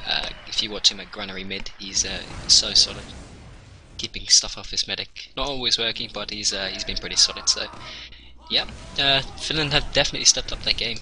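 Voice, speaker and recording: A man talks fairly quickly, his loudness swinging in big jumps, while noticeable background noise fills the recording. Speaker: esports caster. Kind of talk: live esports commentary. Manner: halting, filler-heavy, restarts phrases; measured, analytical.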